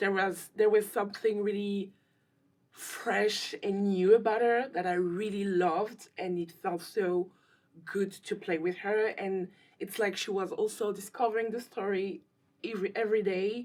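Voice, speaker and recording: With a French accent, a woman speaks at a moderate pace. Her pitch sits in the middle range, and her intonation stays fairly even. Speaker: actress and filmmaker. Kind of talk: interview.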